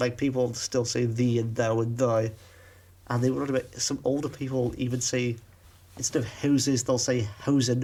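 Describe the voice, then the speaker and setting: A man's dark, mellow, somewhat breathy voice at medium pitch, moderate pace, monotone, flat intonation, and very even loudness. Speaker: podcast co-host. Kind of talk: casual chat.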